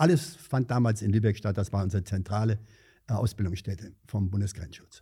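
On a very clean recording with a silent background, a man speaks in a somewhat breathy voice with a dark, mellow tone. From Hesse, Vogelsberg area (Angersbach). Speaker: retired district administrator and former border guard officer. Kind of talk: interview.

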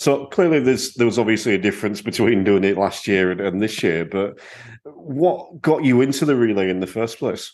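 A man talks at a fairly quick pace with lively intonation and a medium pitch, in an ordinary speaking voice. The background is quiet. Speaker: podcast host. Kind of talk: podcast hosting and interview.

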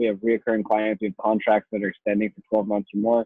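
Here is a plain, everyday voice, a man at a medium pitch speaking at a fairly quick pace. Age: 20s. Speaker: marketing agency owner. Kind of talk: casual interview.

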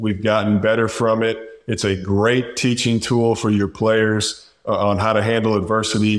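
On a very clean recording with a silent background, a man talks at a fairly low pitch and fairly slow pace in a monotone, flat intonation. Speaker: basketball podcast host. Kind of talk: casual sports chat.

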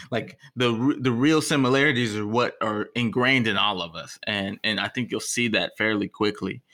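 Hardly pausing, a man with an American accent talks at a moderate pace, with medium pitch, ordinary pitch variation and a bright, sharp tone, on a very clean recording with a silent background. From Texas. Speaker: podcast co-host. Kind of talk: casual conversation. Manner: halting, repeats words.

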